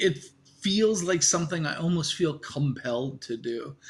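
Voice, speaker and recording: A man talks at a fairly slow pace in an American accent. His voice is somewhat breathy. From US Midwest, Iowa. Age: 60s. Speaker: sailor. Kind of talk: interview.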